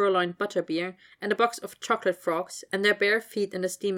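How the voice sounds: What you hear is a natural reading voice.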